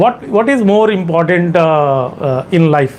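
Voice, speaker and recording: A man with an Indian accent speaks at a fairly high pitch and a fairly slow pace, with audible room echo and noticeable background noise. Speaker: exam coaching teacher. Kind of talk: lecture. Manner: halting.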